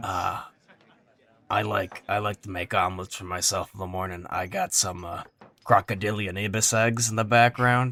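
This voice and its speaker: Using a raspy, put-on character voice, a man speaks at a moderate pace with a fairly low pitch. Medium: actual play. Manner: blunt, casual, slangy.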